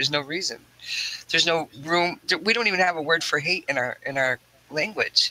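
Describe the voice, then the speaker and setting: Over noticeable background noise, a man talks at a fairly quick pace. His voice is high, with ordinary pitch variation. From Mi'kmaq First Nation, Atlantic Canada/northeastern North America. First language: Mi'kmaq. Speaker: podcast guest. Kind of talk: casual chat.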